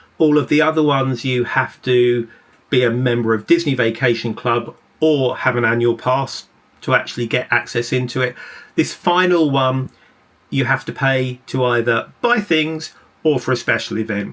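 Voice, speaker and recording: This man speaks at a moderate pace with an English accent. His pitch sits in the medium range. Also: ordinary pitch variation. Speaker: travel vlogger. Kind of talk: travel vlog narration.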